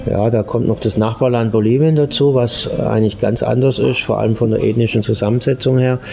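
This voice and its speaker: A man with a medium pitch talks at a fairly quick pace with hardly any pauses and fairly even intonation. His loudness stays very even over noticeable background noise. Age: 50s. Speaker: interview guest. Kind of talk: casual interview. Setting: Italian restaurant.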